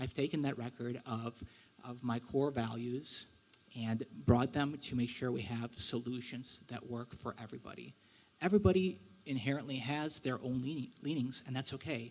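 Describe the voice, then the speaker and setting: A man's medium-pitched voice at a moderate pace with ordinary pitch variation. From Russia, then Wisconsin. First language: Russian. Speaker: local political candidate. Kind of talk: campaign speech at candidate forum.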